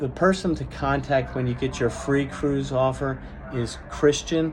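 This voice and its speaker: Speech comes at a fairly slow pace with audible room echo. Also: man. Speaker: cruise vlogger. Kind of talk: casual vlog monologue. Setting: at a cruise port. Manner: stutters and stammers at times; long-winded, unscripted.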